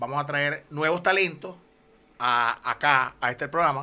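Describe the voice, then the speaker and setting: A man's bright, sharp tone comes at a fairly high pitch and a fairly slow pace, with ordinary pitch variation. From Venezuela, Lagunillas, Zulia. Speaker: podcast co-host, musician. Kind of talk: casual chat. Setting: studio.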